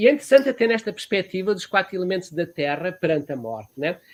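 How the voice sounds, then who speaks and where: A man speaks with lively intonation. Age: 70s. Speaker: therapist and professor. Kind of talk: interview. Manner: halting, with frequent fillers.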